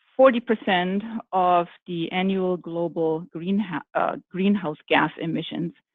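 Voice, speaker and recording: A woman with a German accent at a medium pitch, with ordinary pitch variation. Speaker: architect, firm executive. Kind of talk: panel discussion. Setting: virtual summit.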